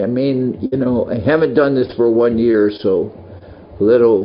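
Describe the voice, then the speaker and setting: A man talks fairly slowly, with noticeable background noise behind him. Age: 70s. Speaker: monk and spiritual teacher. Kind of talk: casual talk to devotees. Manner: halting.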